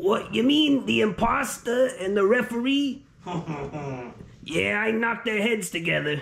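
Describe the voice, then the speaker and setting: Using a put-on character voice at a fairly high pitch, the speaker keeps a moderate pace broken by long, frequent pauses. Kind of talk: comedy skit. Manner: mocking, trash-talking.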